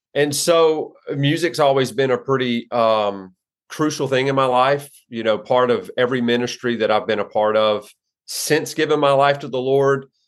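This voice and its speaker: A man's medium-pitched voice with an American accent and ordinary pitch variation. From US South, southwest Louisiana. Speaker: pastor. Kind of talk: casual interview. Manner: halting with many fillers.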